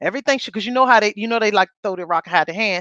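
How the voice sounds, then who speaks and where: Loud and animated, a woman speaks with a bright, sharp tone and lively intonation in a dry, close sound with no echo. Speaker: podcast co-host. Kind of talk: casual chat.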